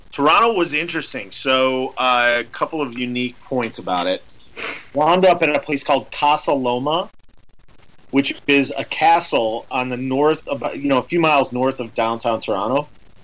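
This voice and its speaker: This man has an ordinary speaking voice at medium pitch. He talks at a moderate pace with ordinary pitch variation. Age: 40s. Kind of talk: casual chat.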